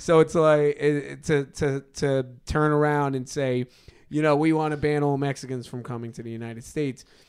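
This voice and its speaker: A man with a New York accent, fairly high pitch, fairly quick pace, monotone, flat intonation and big swings in loudness. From Brooklyn, New York. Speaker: podcast co-host. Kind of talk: casual chat.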